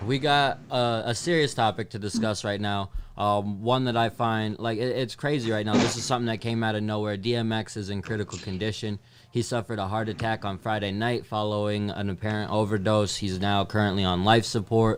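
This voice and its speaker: Noticeable background noise sits behind a man with a fairly low pitch and fairly even intonation. He keeps a fairly quick pace with hardly any pauses. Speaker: hip-hop podcast host. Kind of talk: casual chat.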